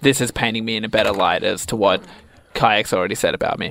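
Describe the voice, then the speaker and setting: This man has an ordinary speaking voice, talking at a fairly quick pace with ordinary pitch variation. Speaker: radio co-host. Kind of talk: comedy radio show banter. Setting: radio studio.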